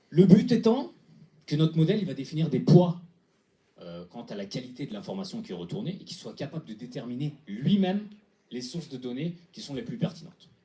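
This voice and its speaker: A man's fairly high-pitched voice with a dark, mellow tone, vocal fry, very wide pitch swings and a fairly quick pace. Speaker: hackathon team presenter. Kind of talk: pitch presentation. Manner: fast; halting with fillers.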